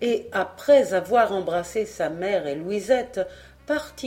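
Lively intonation in a natural reading voice

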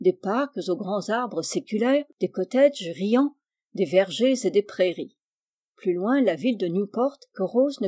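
The clip is plain reading aloud, with a quiet background behind it.

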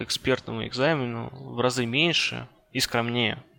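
This man's voice has a bright, sharp tone at a medium pitch. He speaks at a fairly slow pace with fairly even intonation. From Russia, Ryazan. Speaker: network engineer. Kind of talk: interview.

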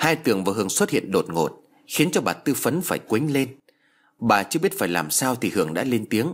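The speaker is reading aloud in a natural voice. That is the whole of it.

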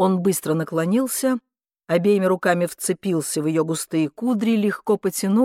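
A natural reading voice with ordinary pitch variation and a quiet background

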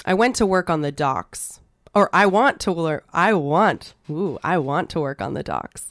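Speaking at a fairly slow pace, a woman with a Canadian Prairie accent has a fairly low pitch. The recording is very clean and silent behind her, with a dry, close sound and no echo. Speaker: spoken word poet. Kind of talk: poetry reading.

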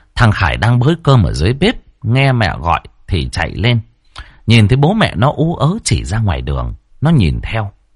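The clip offers plain reading aloud.

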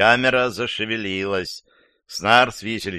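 The voice is an unforced reading voice over a quiet background.

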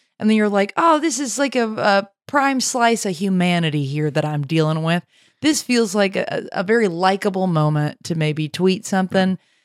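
In a very clean recording with a silent background, a woman speaks at a moderate pace in a normal speaking voice of medium pitch with lively intonation. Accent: American. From US South, Nashville, Tennessee. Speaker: comedy producer and podcast co-host. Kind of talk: casual comedic chat.

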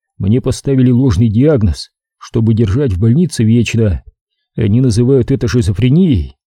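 Reading aloud in a natural voice, with ordinary pitch variation against a quiet background.

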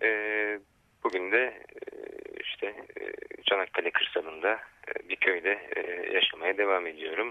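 Long pauses come often as a man speaks. His pace is fairly slow. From Turkish city. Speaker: ecological farming network coordinator. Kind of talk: radio interview. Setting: phone call. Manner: halting, many fillers.

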